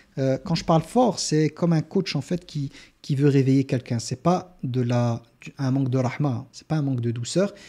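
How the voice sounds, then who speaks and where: A man with a dark, mellow tone speaks with ordinary pitch variation on a very clean recording with a silent background. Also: fairly high pitch for a man, moderate pace. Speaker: Islamic teacher. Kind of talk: religious lecture. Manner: loud; halting, with repetitions.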